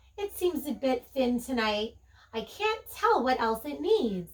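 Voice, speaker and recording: A put-on character voice with very wide pitch swings at a fairly slow pace. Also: woman, high pitch for a woman. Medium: read story. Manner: warm, homely.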